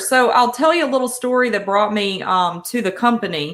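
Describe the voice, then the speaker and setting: Moderately paced female speech with ordinary pitch variation. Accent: Southern US. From Georgia. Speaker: senior resource directory representative. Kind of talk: live stream interview. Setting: live stream.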